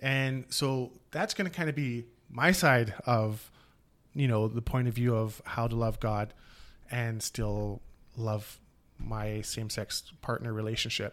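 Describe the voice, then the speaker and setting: A man's normal speaking voice, medium in pitch with ordinary pitch variation and a fairly slow pace, in a very clean recording with a silent background. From Canada. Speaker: podcast co-host. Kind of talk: casual chat.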